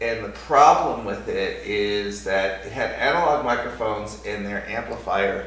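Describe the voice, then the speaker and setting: There is audible room echo and noticeable background noise as a man speaks. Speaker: hardware startup founder. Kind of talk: product demo. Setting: recorded on a separate microphone. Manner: loud; halting.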